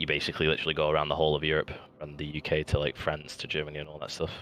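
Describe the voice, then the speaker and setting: Music plays in the background as a man with a very deep, low voice and a British accent talks very fast in a monotone, flat delivery. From United Kingdom. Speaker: gamer in voice chat. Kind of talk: casual chat.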